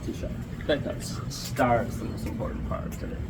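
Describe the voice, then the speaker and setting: There is audible room echo and noticeable background noise as a man talks at a fairly quick pace. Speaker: travel vlogger. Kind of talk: casual vlog chat.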